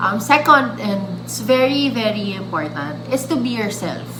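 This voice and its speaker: Speaking with a Filipino accent at a fairly slow pace, a woman is heard with audible room echo and noticeable background noise. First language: Filipino (Tagalog). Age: 30s. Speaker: vlogger. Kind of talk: tutorial. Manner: casual, with many fillers and restarts.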